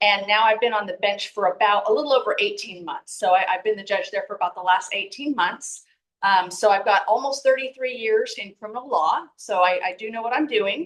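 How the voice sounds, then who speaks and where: A woman with an American accent talks in a normal speaking voice at a fairly high pitch with ordinary pitch variation. She keeps a fairly quick pace with hardly any pauses. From Texas, El Paso. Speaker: judge and political candidate. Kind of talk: campaign speech at community meeting.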